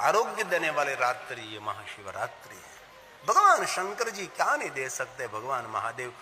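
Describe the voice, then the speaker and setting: A man is heard speaking with music in the background. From Gujarat, India. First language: Gujarati (speaking Hindi). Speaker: religious storyteller. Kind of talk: religious discourse.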